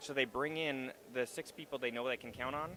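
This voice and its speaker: A man's medium-pitched voice in a bright, sharp tone, with a slight Canadian accent and fairly even intonation. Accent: Canadian, slight (slips on 'about'). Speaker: actor and web series creator. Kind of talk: interview at a live event. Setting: stage at a trade show, live stream.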